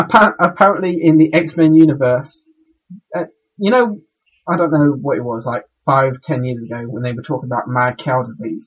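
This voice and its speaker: Somewhat breathy speech unfolds with ordinary pitch variation and a moderate tempo. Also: man. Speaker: podcast co-host. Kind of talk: casual chat. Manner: halting.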